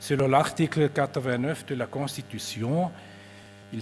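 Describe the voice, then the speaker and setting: Music plays in the background as someone speaks with a Swiss German accent and ordinary pitch variation. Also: man. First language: Swiss German (speaking French). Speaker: government energy official. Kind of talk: conference presentation. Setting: conference with audience. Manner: formal.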